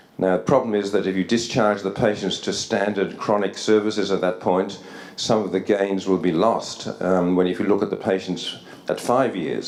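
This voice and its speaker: A man talks in a very deep, low pitch with fairly even intonation. Audible room echo surrounds his voice. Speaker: psychiatry researcher. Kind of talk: conference lecture. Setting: academy hall with audience. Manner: fast; halting, many repetitions.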